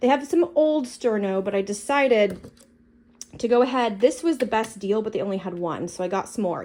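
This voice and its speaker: Lively in intonation, a woman with a fairly high pitch speaks at a fairly quick pace. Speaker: prepping youtuber. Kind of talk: product haul walkthrough. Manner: fast; casual with many fillers.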